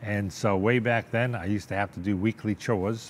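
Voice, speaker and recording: A man with a Boston accent speaks at a moderate pace in a fairly low pitch. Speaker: businessman and car collector. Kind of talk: interview.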